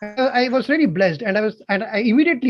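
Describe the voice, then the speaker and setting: A man with a Tamil accent at a very fast pace, with ordinary pitch variation. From South India, Bangalore. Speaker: amateur singer. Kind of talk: casual chat.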